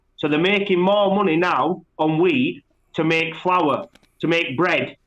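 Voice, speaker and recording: A man's high voice at a fairly slow pace, with ordinary pitch variation. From West Yorkshire, England (Bradford). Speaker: pigeon fancier, competitor. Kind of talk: podcast interview. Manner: loud.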